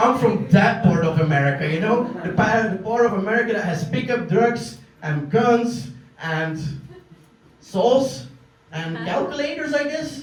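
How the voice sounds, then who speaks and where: A high-pitched man with a Flemish Belgian accent, very wide pitch swings and long, frequent pauses, amid audible room echo and noticeable background noise. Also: fairly slow pace. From Belgium. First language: Dutch. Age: 30s. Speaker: comedian. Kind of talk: stand-up. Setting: stage with audience.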